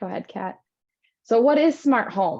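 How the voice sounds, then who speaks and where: A woman's voice with lively intonation. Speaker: assistive technology presenter. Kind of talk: presentation. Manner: fast.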